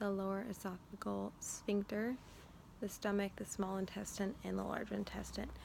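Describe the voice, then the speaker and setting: Soft-spoken, this voice holds a moderate pace. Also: woman. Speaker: student giving recorded presentation. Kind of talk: informal recorded school presentation. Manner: quiet, soft-spoken; hesitant with many fillers.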